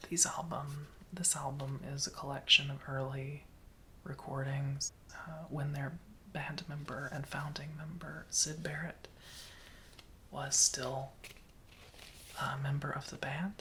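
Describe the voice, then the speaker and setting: Soft-spoken and in a relaxed tone, the voice moves at a fairly slow pace with long, frequent pauses. Noticeable background noise can be heard. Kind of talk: ASMR soft-spoken show and tell, casual talk to camera. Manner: soft-spoken, relaxed.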